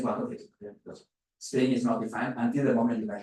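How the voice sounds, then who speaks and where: A man's somewhat breathy voice rushes at a very fast pace through very wide pitch swings, with audible room echo. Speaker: physics professor. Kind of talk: lecture.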